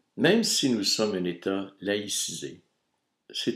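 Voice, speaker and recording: A man with a Quebec accent speaks at a very slow pace. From Quebec (Montreal). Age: 60s. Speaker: video blogger. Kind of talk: reading aloud.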